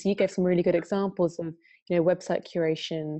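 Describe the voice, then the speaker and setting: A woman with an English accent speaks at a fairly quick pace. Her pitch is fairly low and her intonation monotone and flat. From UK. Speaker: software company country manager. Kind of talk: webinar interview.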